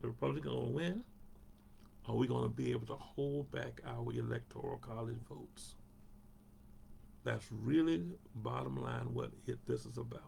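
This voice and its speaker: A man with a Southern US accent talks at a moderate pace. He takes long, frequent pauses. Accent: Southern US (Georgia). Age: 70s. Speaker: pastor. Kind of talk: Bible study talk. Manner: conversational.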